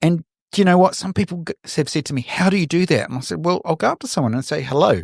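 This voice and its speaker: Speaking at a very fast pace, a man with a New Zealand accent has a high pitch and lively intonation. The recording is very clean with a silent background and a dry, close sound with no echo. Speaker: photographer. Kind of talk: interview conversation. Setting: podcast.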